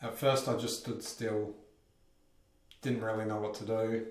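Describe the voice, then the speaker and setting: Audible room echo and noticeable background noise surround speech delivered at a fairly slow pace. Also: man. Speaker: vlogger. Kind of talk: personal vlog monologue. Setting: bathroom at home. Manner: shaky voice.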